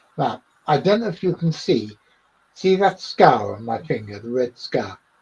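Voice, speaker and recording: Somewhat breathy and fairly high in pitch, a man talks at a moderate pace with very wide pitch swings and big swings in loudness. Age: 60s. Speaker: cryptozoologist. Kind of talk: interview.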